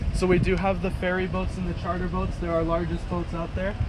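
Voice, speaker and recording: Very fast speech comes from a man, with noticeable background noise behind him. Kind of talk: safety briefing. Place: boat. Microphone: phone near.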